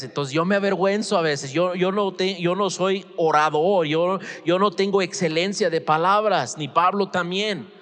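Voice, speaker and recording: Over noticeable background noise, a man with a high pitch and an animated tone talks at a moderate pace with ordinary pitch variation and hardly any pauses. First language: English (speaking Spanish). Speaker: pastor. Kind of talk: sermon. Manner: halting.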